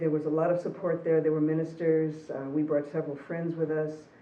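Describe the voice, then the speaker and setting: A woman with a very deep, low pitch talks through audible room echo and noticeable background noise. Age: 60s. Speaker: interviewee sharing personal story. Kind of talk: personal testimony.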